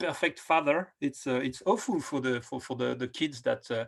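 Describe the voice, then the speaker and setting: A man speaks with a French accent. His pace is moderate and his pitch variation ordinary. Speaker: film director. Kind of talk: interview. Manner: halting, many fillers and repetitions.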